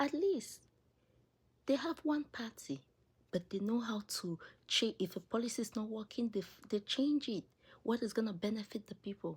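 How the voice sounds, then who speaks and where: An animated voice with an African accent at a moderate pace, broken by long, frequent pauses. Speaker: political commentary video creator. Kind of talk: opinion monologue.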